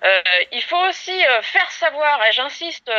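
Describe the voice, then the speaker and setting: A woman projects her voice in a bright, sharp tone at a fairly slow pace. The sound is dry and close, with no echo. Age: 40s. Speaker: rabbit farmer and industry association president. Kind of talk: prepared statement to camera. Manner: hesitant, frequent filler sounds.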